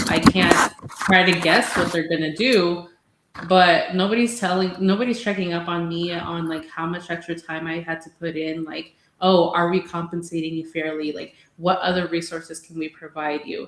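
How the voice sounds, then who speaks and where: Speaking with a Spanish accent, a woman uses a fairly low pitch and fairly even intonation while her loudness swings widely. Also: moderate pace. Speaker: bilingual mental health clinician, podcast co-host. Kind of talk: casual podcast discussion.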